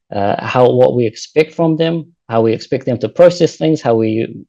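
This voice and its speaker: Medium in pitch, this man's voice has a dark, mellow tone. His pitch varies in an ordinary way. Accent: New Zealand. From New Zealand. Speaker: postdoctoral researcher. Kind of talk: lecture. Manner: fast.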